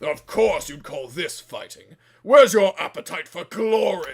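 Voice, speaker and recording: A man puts on a character voice pitched high. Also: moderate pace. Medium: audio drama. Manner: whiny, complaining.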